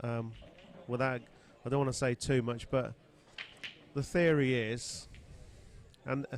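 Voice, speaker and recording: Fairly slow, fairly even speech in an English accent, broken by long, frequent pauses. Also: man, medium pitch for a man. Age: 50s. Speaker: pool player and commentator. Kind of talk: casual chat. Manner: halting.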